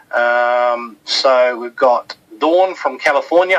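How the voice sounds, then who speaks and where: Music plays in the background as a man with a New Zealand accent talks at a fairly high pitch with ordinary pitch variation. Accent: funny accent (New Zealand). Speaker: webinar host. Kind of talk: webinar presentation. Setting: online webinar from office. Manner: casual, hesitant with fillers.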